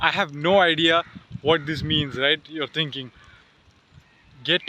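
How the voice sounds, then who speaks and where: Over noticeable background noise, a man with a fairly high pitch speaks at a fairly slow pace with fairly even intonation. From Dubai. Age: 20s. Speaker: entrepreneur. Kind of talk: casual talk to camera.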